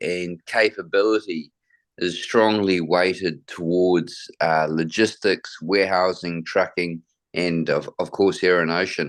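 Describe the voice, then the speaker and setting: With a New Zealand accent, a man speaks at a very slow pace in a very deep, low pitch over a quiet background. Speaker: logistics company manager. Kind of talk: interview. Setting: video call.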